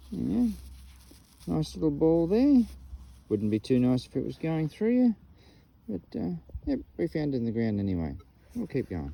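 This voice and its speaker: Speaking at a moderate pace with an Australian accent, a man leaves long, frequent pauses in a dry recording with no echo. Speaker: metal detecting vlogger. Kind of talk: casual outdoor commentary. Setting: outdoors in the bush. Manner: casual, chatty. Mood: enthusiastic. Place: open country.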